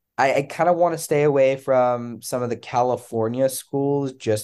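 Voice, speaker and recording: A man's medium-pitched voice, dark and mellow, with ordinary pitch variation and an American accent, over a quiet background. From Pennsylvania. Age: 20s. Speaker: medical student. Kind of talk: casual chat.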